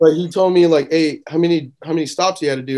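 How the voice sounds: In an American accent, the voice has a dark, mellow tone and moves at a moderate pace. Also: man.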